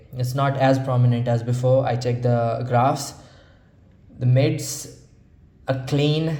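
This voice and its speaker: This man talks at a medium pitch with a non-native accent. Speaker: audio gear reviewer. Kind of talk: casual talk to camera. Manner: casual, hesitant, profane.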